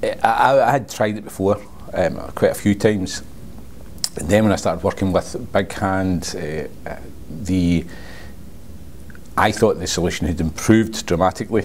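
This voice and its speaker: Very deep and low in pitch, a man speaks with a strong West Coast Scottish accent at a moderate pace and fairly even intonation, with noticeable background noise behind him. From Scotland, Port Glasgow (West Coast). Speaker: sales representative for speech recognition software. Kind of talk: casual interview.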